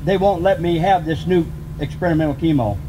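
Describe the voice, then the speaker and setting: This man has a high pitch and lively intonation, speaking fairly quickly with noticeable background noise behind him. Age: 50s. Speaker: cancer patient activist. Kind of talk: personal testimony speech.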